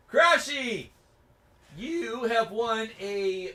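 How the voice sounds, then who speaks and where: A man speaks in a raised, projected voice with a high pitch for a man. His tone is bright and sharp, and his intonation is lively. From Canada. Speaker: motorcycle YouTuber hosting a livestream. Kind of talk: casual livestream chat. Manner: animated.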